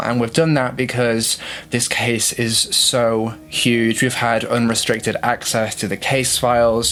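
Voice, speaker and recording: Through noticeable background noise, a man of medium pitch speaks at a fairly slow pace. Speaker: true crime YouTuber. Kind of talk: true crime video narration. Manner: hesitant, many fillers.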